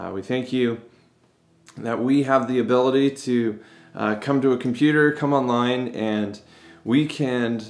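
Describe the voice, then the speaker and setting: Moderate pace from a male speaker. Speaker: pastor. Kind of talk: service welcome and prayer. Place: office. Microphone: phone near.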